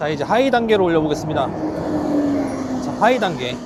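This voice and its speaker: A man speaks with very wide swings in pitch. Noticeable background noise and audible room echo fill the recording. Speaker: tech reviewer. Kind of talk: product review. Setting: outdoors beside a busy road. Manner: loud, raised voice over noise.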